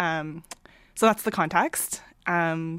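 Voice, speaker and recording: A woman's fairly low-pitched voice with a Canadian accent. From small-town Ontario, Canada. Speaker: comic artist and data analyst. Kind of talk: interview conversation. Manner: hesitant, many fillers.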